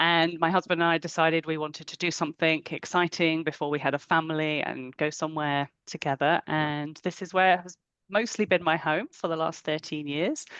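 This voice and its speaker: Against a quiet background, a woman with a very deep, low pitch speaks fairly quickly with hardly any pauses. Her intonation stays fairly even. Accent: British. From England. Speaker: coach and clinical psychologist. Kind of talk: webinar talk.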